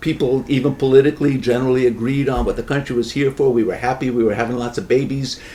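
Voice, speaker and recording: Over noticeable background noise, a man with an American accent talks at a very fast pace with hardly any pauses, at medium pitch and in monotone, flat intonation. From US Northeast, New York metro area. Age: 70s. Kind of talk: casual chat.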